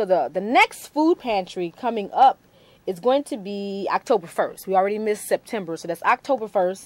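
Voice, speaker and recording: Moderately paced with lively intonation, a woman speaks at a medium pitch in a normal speaking voice. The sound is dry and close with no echo. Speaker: TV talk show host. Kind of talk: TV interview show, announcements.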